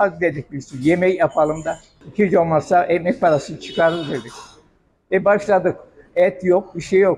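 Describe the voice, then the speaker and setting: Over light background noise, a man talks at a high pitch and moderate pace with ordinary pitch variation and long, frequent pauses. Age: 90s. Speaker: restaurant owner. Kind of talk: interview. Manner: casual. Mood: calm, reminiscing. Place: kitchen. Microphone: handheld.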